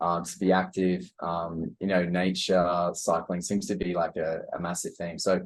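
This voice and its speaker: A man with an Australian accent speaks with hardly any pauses against a quiet background. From Australia (Brisbane). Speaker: digital nomad entrepreneur, podcast co-host. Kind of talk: casual interview chat. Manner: halting, many fillers and repeats.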